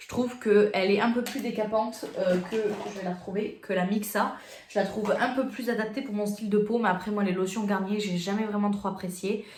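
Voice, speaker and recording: Against noticeable background noise and audible room echo, a woman speaks at medium pitch with monotone, flat intonation. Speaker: beauty youtuber. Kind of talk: product review vlog. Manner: fast; casual, hesitant with fillers.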